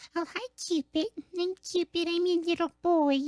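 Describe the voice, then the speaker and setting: At a moderate pace, a put-on character voice comes through squeaky and extremely high in pitch. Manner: cutesy, playful.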